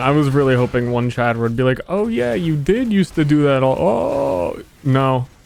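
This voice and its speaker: A man talks at a medium pitch and moderate pace, with hardly any pauses and very even loudness. Noticeable background noise sits behind him. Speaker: video game streamer. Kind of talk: casual livestream chat. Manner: flat, unhappy-sounding.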